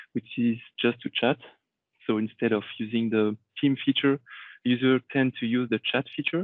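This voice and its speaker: With a French accent, a man speaks in a monotone, flat intonation. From Réunion Island. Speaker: IT consultant. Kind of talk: conference talk.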